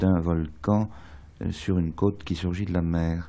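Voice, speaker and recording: With a dark, mellow tone, a man speaks at a very slow pace. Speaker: radio interviewer. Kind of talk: radio interview. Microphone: old recording.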